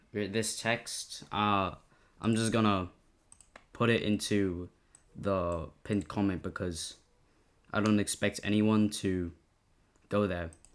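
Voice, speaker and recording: Delivery is very slow, broken by long, frequent pauses. The recording is very clean, with a silent background. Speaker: game developer tutorial youtuber. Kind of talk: tutorial. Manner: halting, stuttering.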